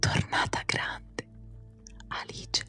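Someone whispers at a very slow pace. Faint music plays in the background. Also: woman. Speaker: ASMR creator. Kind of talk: relaxing storybook reading. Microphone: studio mic.

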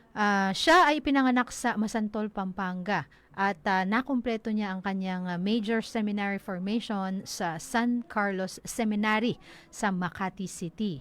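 A woman's medium-pitched voice at a fairly slow pace, with ordinary pitch variation, in a very clean recording over a silent background. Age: 40s. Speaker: local radio news announcer. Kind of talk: radio news report. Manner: halting, many fillers.

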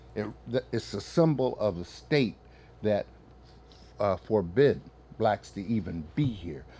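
A man with an American accent, fairly low-pitched and somewhat breathy, dark and mellow in tone, lively in intonation, fairly slow with long, frequent pauses. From northern US. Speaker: military veteran. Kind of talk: casual chat. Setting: studio. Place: studio.

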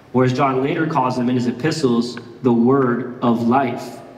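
Audible room echo around a man speaking in an American accent. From Miami, Florida. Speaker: pastor. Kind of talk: sermon. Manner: casual, conversational. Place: church. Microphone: headset.

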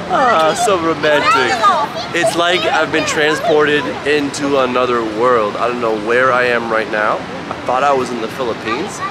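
Over crowd noise in the background, a man speaks at a moderate pace with ordinary pitch variation, the sound dry with no echo. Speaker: travel vlogger. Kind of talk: casual vlog chat. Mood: upbeat, playful. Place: market. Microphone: phone near.

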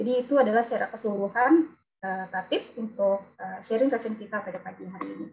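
A woman with an unremarkable speaking voice talks at a fairly high pitch and a fairly quick pace. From Lampung, Indonesia. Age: 30s. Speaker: webinar moderator, occupational safety engineer. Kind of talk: moderating online seminar.

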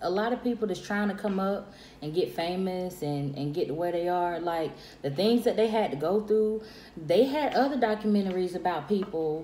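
Audible room echo surrounds a woman with a dark, mellow tone. She speaks at a moderate pace with lively intonation. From South Carolina. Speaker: friend of vlogger. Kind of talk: casual chat. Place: home room. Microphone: phone near.

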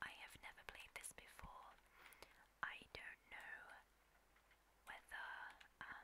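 Whispering at a very slow pace with long, frequent pauses. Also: woman. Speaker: ASMR gaming streamer. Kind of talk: casual talk to camera while gaming.

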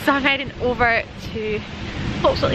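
A woman with a Scottish accent at a moderate pace, dry sound with no echo, loud background noise. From Scotland. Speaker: wildlife photographer. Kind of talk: casual talk to camera. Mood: cheerful, self-deprecating. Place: open country. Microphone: phone near.

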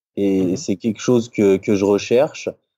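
Dark and mellow describes this man's tone. The sound is dry and close, with no echo. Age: 20s. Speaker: bodybuilder and sports nutritionist. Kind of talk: casual interview.

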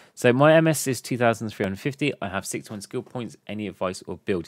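Someone with a southern English accent speaks with lively intonation. The sound is dry with no echo, and the background is quiet. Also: man. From southern England. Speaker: gaming YouTuber; gaming content creator. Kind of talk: tutorial; Q&A tutorial commentary. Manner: fast. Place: home room. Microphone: studio mic.

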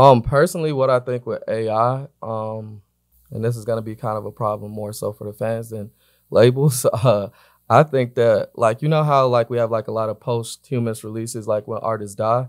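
Over a quiet background, a man talks at a moderate pace and medium pitch, with fairly even intonation but big swings in loudness. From Atlanta, US South; Georgia. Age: 20s. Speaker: music marketing executive; podcast guest. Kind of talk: interview. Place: studio. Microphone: studio mic.

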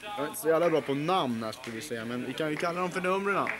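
Background noise is noticeable throughout. Over it, a man talks very fast. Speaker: amateur commentator filming. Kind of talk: commentary. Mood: casual, joking. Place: hall. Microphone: old recording.

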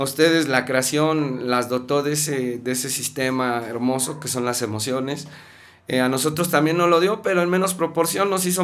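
With a Mexico City accent, a man speaks fairly slowly with ordinary pitch variation over light background noise. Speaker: musician and life coach; life coach. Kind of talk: casual chat. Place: studio. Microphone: studio mic.

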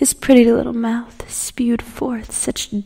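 A dramatic, menacing tone at a fairly slow pace over noticeable background noise. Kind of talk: dark poem reading, theatrical first-person horror verse. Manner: dramatic, measured, menacing storytelling with whispered moments.

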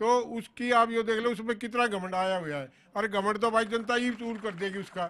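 A man with a high pitch talks at a moderate pace, using ordinary pitch variation and hardly any pauses. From Haryana. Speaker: local politician. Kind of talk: heated political debate. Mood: critical, argumentative about government. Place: garden. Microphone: handheld.

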